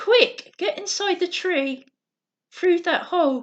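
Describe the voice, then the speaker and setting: Putting on a character voice, a woman speaks at a fairly slow pace with an extremely high pitch. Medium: read story. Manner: chattering, insistent.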